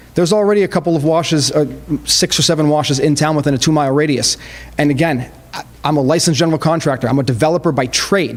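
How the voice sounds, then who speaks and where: A man talks at a very fast pace with a fairly high pitch and ordinary pitch variation. Noticeable background noise runs underneath. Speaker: car wash owner speaking at public hearing. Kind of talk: public comment at council hearing.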